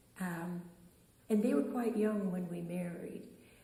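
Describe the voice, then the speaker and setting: With noticeable background noise and audible room echo, a woman talks at a medium pitch with fairly even intonation. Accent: American. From US South, Charleston, South Carolina. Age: 80s+. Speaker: interviewee, elder sharing life story. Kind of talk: interview, life story. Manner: halting, with fillers.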